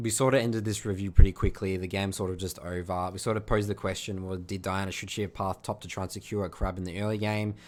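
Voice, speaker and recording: Talking at a very fast pace with hardly any pauses, a man with an Australian accent keeps a monotone, flat intonation on a very clean recording with a silent background. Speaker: video game coach. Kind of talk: gameplay review commentary. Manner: casual, with frequent fillers.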